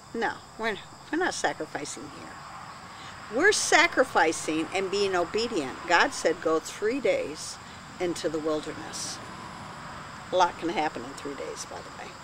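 A woman speaks at a moderate pace with long, frequent pauses. The sound is dry with no echo, and background noise is noticeable. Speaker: pastor. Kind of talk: sermon. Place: garden.

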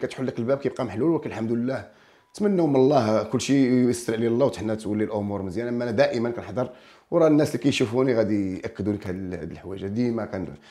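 A man at medium pitch with a dark, mellow tone, ordinary pitch variation, a fairly quick pace, hardly any pauses and a quiet background. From Morocco, Kelaat Sraghna; Morocco. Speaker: folk singer and comedian; comedian. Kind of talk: casual interview. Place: studio. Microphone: lapel.

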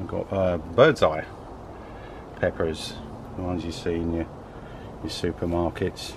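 Light background noise accompanies a dry sound that carries no echo. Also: man. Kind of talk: casual vlog walkthrough. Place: garden. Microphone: phone near.

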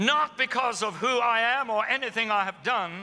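Raised and projected, a man's extremely high, animated voice moves at a fairly slow pace with ordinary pitch variation. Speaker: preacher. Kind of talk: sermon. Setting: church with live congregation. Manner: animated, exhorting the congregation. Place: stage.

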